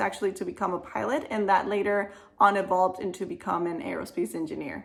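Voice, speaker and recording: A woman speaks very fast with a Spanish accent and an enthusiastic tone. Her pitch sits in the medium range with ordinary variation. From Venezuela. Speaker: aerospace engineer. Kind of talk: career advice Q&A monologue.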